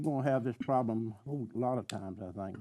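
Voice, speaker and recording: A man's dark, mellow voice in a Tennessee accent, medium in pitch with ordinary pitch variation, at a moderate pace over a quiet background. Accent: Southern US (Tennessee). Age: 80s+. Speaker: county commissioner. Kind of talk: public meeting debate. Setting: county commission meeting, televised.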